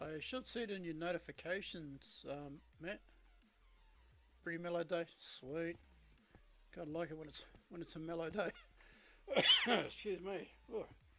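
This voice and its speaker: Against noticeable background noise, a man with a high pitch talks at a moderate pace with ordinary pitch variation and long, frequent pauses. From Australia. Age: 40s. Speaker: game streamer. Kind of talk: casual live-stream chat. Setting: home live stream. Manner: relaxed, laid-back; halting, many fillers.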